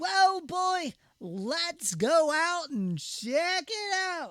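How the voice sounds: At a very slow pace, someone does a put-on character voice with an extremely high pitch.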